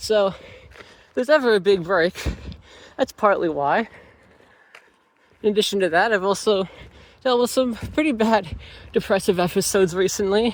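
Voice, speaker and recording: Pausing long and often, a man with a high pitch speaks at a moderate pace with ordinary pitch variation. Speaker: student vlogger. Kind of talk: vlog monologue. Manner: slurred speech; heavy breathing.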